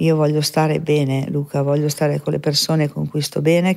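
A woman's very deep, low voice with fairly even intonation at a moderate pace. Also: quiet background. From northern Italy, Veneto (Mestre); Veneto, Italy. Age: 60s. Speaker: medium; podcast guest. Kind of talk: interview testimony. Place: studio. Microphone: studio mic.

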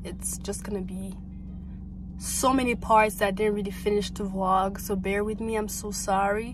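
Music plays in the background as a woman talks at a moderate pace, the sound dry with no echo. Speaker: vlogger. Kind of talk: casual vlog chat. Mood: apologetic, relaxed. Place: car. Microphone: phone near.

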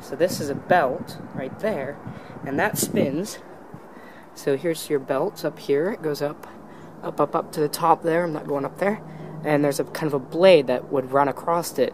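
Speech moves along at a medium rate. Clear background noise can be heard throughout. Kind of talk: casual explanatory vlog commentary. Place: factory. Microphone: phone near.

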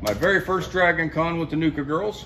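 A man speaks at a fairly quick pace with light background noise. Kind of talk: casual vlog chat. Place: workshop. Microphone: phone near.

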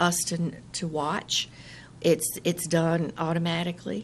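Over light background noise, a woman speaks at a very slow pace with a fairly low pitch. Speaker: county register of deeds. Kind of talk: radio interview answer. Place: office. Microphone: studio mic.

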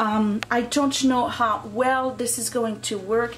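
A woman's fairly slow delivery comes through light background noise. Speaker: home DIY vlogger. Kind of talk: casual DIY tutorial narration. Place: home room. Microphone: phone near.

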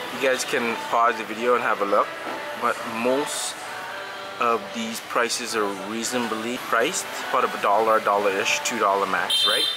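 A man at a moderate pace with long, frequent pauses, music playing behind him. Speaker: food vlogger. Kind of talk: casual vlog chat. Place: cafe. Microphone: phone near.

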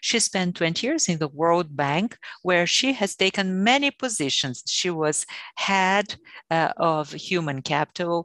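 A woman talks at a fairly slow pace in an unremarkable speaking voice, fairly low in pitch. The sound is dry with no echo, against a quiet background. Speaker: panel moderator. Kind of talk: introduction of a guest speaker. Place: home room. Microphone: earbuds.

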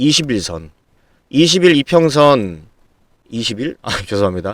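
Very slowly, a man talks with very wide swings in pitch. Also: very clean recording, silent background. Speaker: stock market YouTuber. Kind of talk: stock analysis commentary with sales pitch. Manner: emphatic, repetitive.

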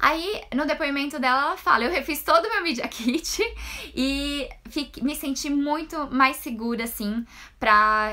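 A woman's bright, sharp voice at a fairly slow pace, with ordinary pitch variation. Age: 30s. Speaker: travel blogger and influencer; travel blogger, influencer. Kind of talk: online mini lecture. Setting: Instagram live video.

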